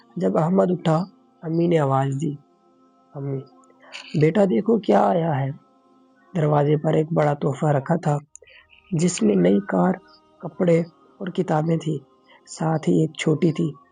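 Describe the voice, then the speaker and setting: A man with a fairly high pitch speaks with lively intonation over music in the background. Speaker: voice-over artist. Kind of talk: children's moral story narration.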